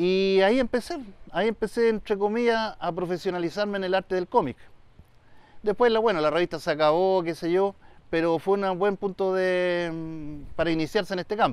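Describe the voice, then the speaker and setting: A man speaks at a high pitch with ordinary pitch variation. His pace is moderate and the sound dry with no echo. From Chile, Valparaíso region (Quilpué); Valparaíso region, Chile. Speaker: illustrator and writer; interviewee. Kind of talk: interview. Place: open country.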